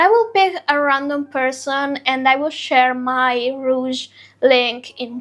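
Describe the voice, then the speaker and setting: At a very slow pace, a woman talks with a high pitch. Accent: non-native. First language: not English. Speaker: beauty influencer. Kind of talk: product review vlog. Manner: casual, chatty.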